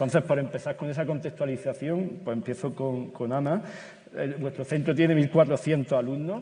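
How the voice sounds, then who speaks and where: With an Andalusian accent, a man speaks at a moderate pace in a fairly high pitch, his tone dark and mellow, somewhat breathy, with ordinary pitch variation. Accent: Granada Andalusian. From Granada, Andalusia, Spain. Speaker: teacher moderating a panel. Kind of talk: panel discussion moderation. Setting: stage with audience at a conference. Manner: halting, many repetitions and fillers.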